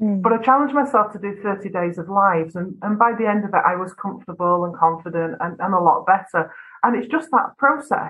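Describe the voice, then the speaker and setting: Using a northwest English accent, a woman talks at a fairly quick pace with hardly any pauses in a medium-pitched voice. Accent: northwest English, flat vowels. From northwest England. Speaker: video business owner. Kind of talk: casual interview chat.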